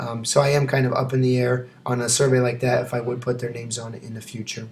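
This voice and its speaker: Somewhat breathy, a man talks at a fairly quick pace in a monotone, flat intonation. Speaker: teacher. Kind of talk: video presentation. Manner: fast; hesitant with frequent fillers.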